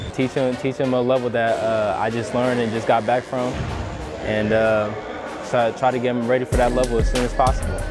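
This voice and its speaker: A man talking at a very fast pace, dry with no echo, over clear music in the background. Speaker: assistant basketball coach. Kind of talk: interview answer. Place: hall. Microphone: lapel.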